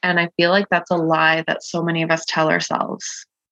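A woman's mumbling at a moderate pace, fairly low in pitch with a bright, sharp tone, the sound dry and close with no echo. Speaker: podcast host and coach. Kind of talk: solo podcast monologue, personal sharing. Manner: vulnerable, reflective; occasional stutter, mumbling and filler ums.

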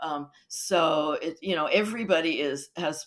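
The voice belongs to a woman. It sits at a very deep, low pitch. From South Asia, expatriate childhood. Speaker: academic expert. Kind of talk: interview. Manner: halting.

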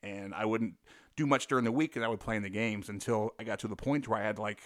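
A man's unremarkable speaking voice at medium pitch with ordinary pitch variation, in a very clean recording with a silent background. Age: 40s. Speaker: former professional basketball player. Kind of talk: interview.

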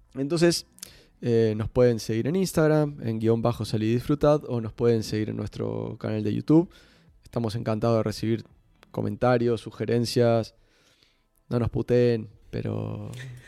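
Music plays in the background as a man speaks. His pace is fairly slow, with ordinary pitch variation. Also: medium pitch for a man. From Uruguay, Montevideo. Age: 40s. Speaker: football coach and podcast host. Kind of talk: casual chat.

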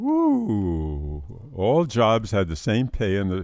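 This man has a fairly low pitch. He speaks at a very slow pace. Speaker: financial advisor podcast host. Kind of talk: casual chat on personal finance. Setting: studio.

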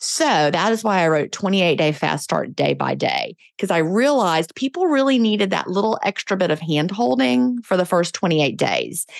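On a very clean recording with a silent background, a woman with a plain, everyday voice speaks at a fairly low pitch with lively intonation. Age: 50s. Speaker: author and podcaster. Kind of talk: interview.

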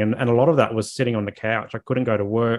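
A man with an Australian accent at a medium pitch. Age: 30s. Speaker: mental health advocate and social worker. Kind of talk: interview.

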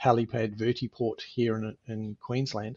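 A man with an Australian accent speaks at a medium pitch with monotone, flat intonation. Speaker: helicopter pilot. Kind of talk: interview. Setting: video call.

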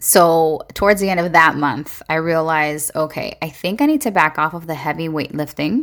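At a moderate pace with hardly any pauses, a woman with a fairly low pitch speaks in an animated tone with ordinary pitch variation, in a very clean recording with a silent background. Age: 40s. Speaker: podcast host. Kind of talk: casual monologue.

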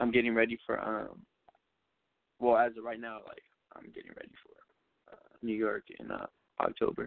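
A man at a moderate pace, with long, frequent pauses and big swings in loudness. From US West Coast, Covina, California. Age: 20s. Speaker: aspiring actor and model, college student. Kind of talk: interview. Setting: phone call.

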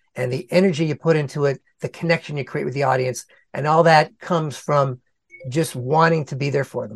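A man with a somewhat breathy, fairly high voice talks at a fairly quick pace with fairly even intonation, in a dry, close sound with no echo. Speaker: content creator and speaker. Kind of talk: interview answers, casual advice.

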